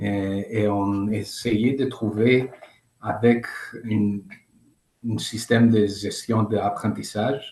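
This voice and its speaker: A man with a non-native accent talks at a very slow pace, leaving long, frequent pauses. His fairly low voice is somewhat breathy and dark, mellow in tone, with monotone, flat intonation. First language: not French (speaking French). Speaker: participant from nonprofit. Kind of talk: question in webinar. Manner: halting.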